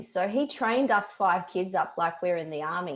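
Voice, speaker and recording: A woman speaks with an Australian accent. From Australia (Melbourne). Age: 40s. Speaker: mental health speaker. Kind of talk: talk to a group.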